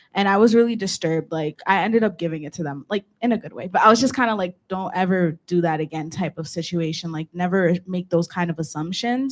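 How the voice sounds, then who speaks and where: A woman speaks in an unremarkable speaking voice, fairly low-pitched, with ordinary pitch variation. Her pace is fairly quick, and the sound is dry and close with no echo. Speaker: student senator. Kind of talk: student government meeting discussion. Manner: casual, filler-heavy speech.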